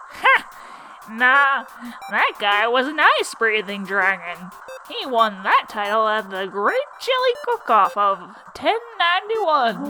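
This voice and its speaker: A female-sounding voice performs a put-on character voice at a fairly high pitch. The pace is fairly slow, with clear background noise behind it. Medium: fan dub. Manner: folksy, teasing.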